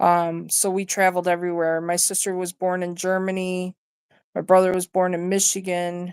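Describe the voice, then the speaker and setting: A woman with an American accent speaks at a moderate pace and medium pitch. Her intonation is monotone and flat. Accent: partial yooper. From Wisconsin, US Upper Midwest. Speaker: livestreamer. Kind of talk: casual chat. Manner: halting.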